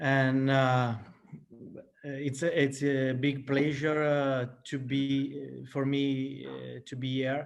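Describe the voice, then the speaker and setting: A man with an Italian accent speaks at a very slow pace in a fairly high pitch, his intonation monotone and flat. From Italy. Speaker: flautist. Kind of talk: casual chat. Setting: video call. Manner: halting.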